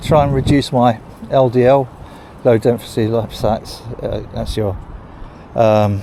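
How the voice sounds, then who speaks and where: Spoken with an English accent at a fairly slow pace, the voice keeps a fairly even intonation, broken by long, frequent pauses over noticeable background noise. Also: man, medium pitch for a man. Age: 60s. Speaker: vlogger. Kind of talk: casual vlog monologue. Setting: outdoors, walking dog in cemetery.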